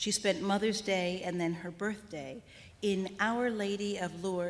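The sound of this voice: It's an unforced reading voice with fairly even intonation.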